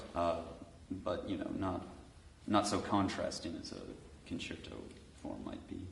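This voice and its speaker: With audible room echo and noticeable background noise, a man talks at a fairly slow pace, leaving long, frequent pauses as his loudness swings widely. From United States. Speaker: composer and pianist. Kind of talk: panel discussion. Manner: halting.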